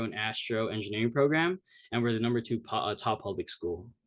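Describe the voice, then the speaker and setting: This man talks at a very fast pace with a medium pitch. His pitch varies in an ordinary way against a quiet background. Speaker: cadet presenting at academy info session. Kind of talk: informational presentation. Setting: video call. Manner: casual, many fillers.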